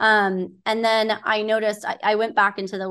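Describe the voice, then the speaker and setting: A woman with an American accent uses an ordinary speaking voice against a quiet background. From Southern California. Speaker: nonprofit board member and hospitality executive. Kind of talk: interview.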